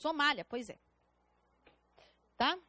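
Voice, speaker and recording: Raised, projected female voice with a bright, sharp tone and a dry, close sound with no echo. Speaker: public defender and exam-prep lecturer. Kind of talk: lecture. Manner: halting, self-correcting.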